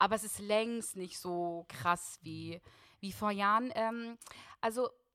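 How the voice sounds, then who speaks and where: A woman speaks with a bright, sharp tone. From Germany, Russian-German family. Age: 20s. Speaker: singer and guest sharing her faith story. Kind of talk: testimony.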